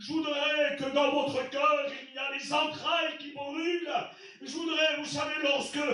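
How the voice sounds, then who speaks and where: In a room with audible echo, a man with an extremely high pitch for a man talks in a raised, projected voice at a fairly slow pace, his intonation monotone and flat while his loudness swings widely. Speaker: pastor. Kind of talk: sermon. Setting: church.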